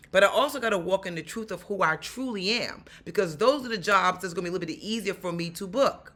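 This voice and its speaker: A woman with a New York accent speaks at a medium pitch in a bright, sharp tone. Her delivery is animated, with lively intonation. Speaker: actor and stuntwoman. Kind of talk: vlog tutorial.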